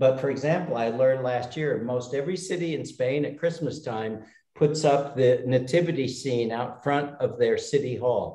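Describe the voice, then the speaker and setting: In an American accent, a man with a medium-pitched, dark, mellow and somewhat breathy voice speaks at a moderate pace with fairly even intonation and hardly any pauses, his voice carrying audible room echo. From United States. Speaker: retired expat. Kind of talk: casual chat. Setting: video call.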